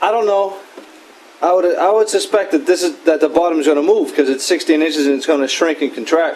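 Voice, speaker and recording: In a Boston accent, a man talks fairly quickly in a high voice with ordinary pitch variation. Noticeable background noise can be heard. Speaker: woodworker. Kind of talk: tutorial. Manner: casual, conversational.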